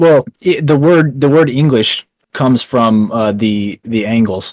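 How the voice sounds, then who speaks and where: A man speaks with a Texan accent. The sound is dry and close, with no echo. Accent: Texan American. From Texas. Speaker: founder of an online news outlet. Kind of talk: casual interview. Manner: halting, many fillers.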